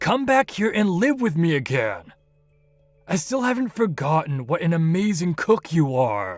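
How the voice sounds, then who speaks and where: A man's put-on character voice with very wide pitch swings at a moderate pace, over faint background music. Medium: audio drama. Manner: self-centered, dismissive.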